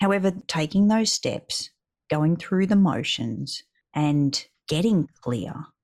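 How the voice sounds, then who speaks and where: The woman's voice is fairly low in pitch. She speaks at a very slow pace. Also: lively intonation. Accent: Australian. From Australia. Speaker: podcast co-host, business owner. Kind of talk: casual chat. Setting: video call. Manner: animated.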